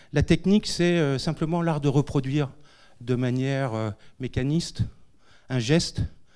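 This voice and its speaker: Speaking at a very slow pace, a man has a dark, mellow tone and ordinary pitch variation. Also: quiet background. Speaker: education center director, co-moderator. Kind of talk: public event introduction. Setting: lecture hall with audience. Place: hall. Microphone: handheld.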